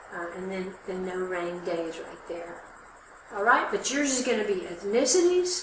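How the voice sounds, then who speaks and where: Loudness swings widely while pitch varies in an ordinary way at a fairly slow pace, with noticeable background noise and audible room echo. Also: woman, medium pitch for a woman. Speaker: college instructor. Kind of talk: tutorial.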